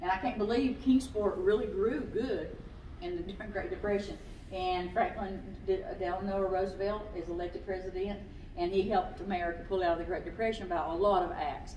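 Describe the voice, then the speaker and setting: A woman's voice at medium pitch, with audible room echo and light background noise. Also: ordinary pitch variation, moderate pace. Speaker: naturalist. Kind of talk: local history talk with slides. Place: hall. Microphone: camera far.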